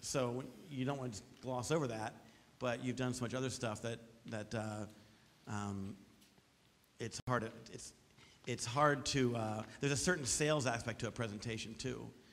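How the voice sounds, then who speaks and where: With ordinary pitch variation and long, frequent pauses, a man talks at a moderate pace. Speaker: teacher on a project review panel; panel judge. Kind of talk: feedback to a student. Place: hall.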